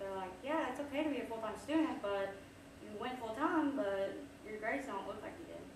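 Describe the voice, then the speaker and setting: Over noticeable background noise and audible room echo, a woman speaks at a fairly quick pace. Her fairly high voice has lively intonation. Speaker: social media consultant and business owner. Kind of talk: workshop presentation. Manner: fast; casual.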